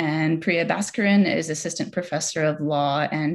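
She has a very deep, low pitch with vocal fry. Her pitch varies in an ordinary way against a quiet background. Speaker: event moderator. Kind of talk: formal introduction of speakers. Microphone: video call.

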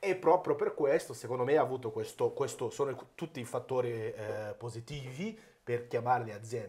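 A man speaks with a Brazilian accent. His pace is fairly quick. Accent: Brazilian Portuguese accent in Italian. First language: Portuguese (speaking Italian). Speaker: accountant and business consultant. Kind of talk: podcast interview. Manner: halting, many false starts. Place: office. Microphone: lapel.

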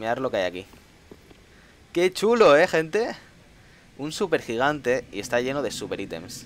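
Speaking in a Castilian accent at a moderate pace, a man with a fairly high pitch uses an animated tone, very wide pitch swings, and long, frequent pauses. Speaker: gaming streamer. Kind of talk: live gameplay commentary. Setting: live stream.

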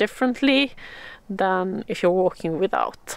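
A woman's voice with ordinary pitch variation comes through as a dry sound with no echo. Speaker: outdoor hiking vlogger. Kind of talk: tutorial. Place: forest. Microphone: phone near.

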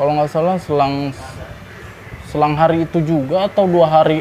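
A man with a Jakarta accent talks at a moderate pace and a fairly high pitch, with light background noise behind him. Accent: Jakarta Betawi-style colloquial Indonesian. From Jakarta, Indonesia. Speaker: former vocational school student telling brawl stories; interview guest. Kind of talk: casual storytelling interview. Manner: animated. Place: cafe.

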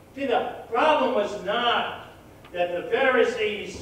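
Very slow speech with strong room echo and light background noise. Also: man. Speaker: pastor. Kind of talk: sermon. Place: church.

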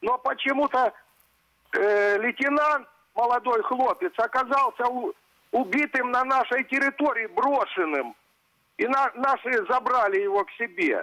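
Against a quiet background, a man uses a raised, projected voice at an extremely high pitch, with very even loudness and a fairly slow pace. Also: ordinary pitch variation. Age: old. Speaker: pensioner caller; caller. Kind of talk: call-in complaint. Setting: phone call. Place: studio. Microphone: lapel.

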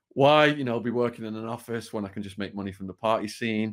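A man with a northern English accent, ordinary pitch variation and a quiet background. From northwest England. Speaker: author and former prisoner. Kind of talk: interview storytelling. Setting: video call. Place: home room.

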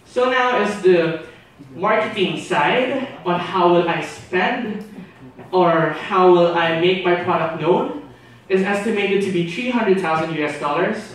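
Strong room echo and light background noise surround a man's high voice. He talks at a very slow pace with ordinary pitch variation. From Philippines. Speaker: exchange student; presenter. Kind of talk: class presentation. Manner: hesitant with many fillers. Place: classroom.

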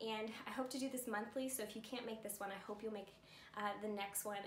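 The intonation is monotone and flat. Audible room echo and light background noise surround the voice. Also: woman. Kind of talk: casual announcement. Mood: warm, cheerful. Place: home room. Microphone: camera far.

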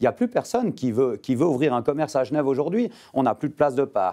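Against a quiet backdrop, a man speaks at a fairly quick pace. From Geneva. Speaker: politician and winegrower. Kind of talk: TV panel debate. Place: studio. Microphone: lapel.

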